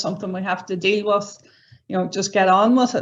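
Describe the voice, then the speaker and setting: Noticeable background noise sits behind a voice with monotone, flat intonation. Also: woman. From Ireland, County Donegal. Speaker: senior research fellow. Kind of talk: conference presentation.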